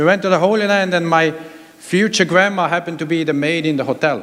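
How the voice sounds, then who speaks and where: A man's pitch moves in an ordinary way while noticeable noise sounds behind him. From Switzerland. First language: not English (German / Hebrew). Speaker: pastor. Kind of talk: sermon. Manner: halting, many fillers.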